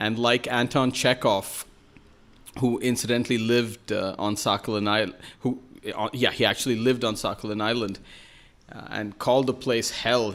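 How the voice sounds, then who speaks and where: Monotone, flat intonation from a man with a Keralan accent at medium pitch, moderate pace, long and frequent pauses, on a very clean recording with a silent background. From New York City, US. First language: Malayalam. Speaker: writer and journalist. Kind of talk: podcast interview. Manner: hesitant, many fillers.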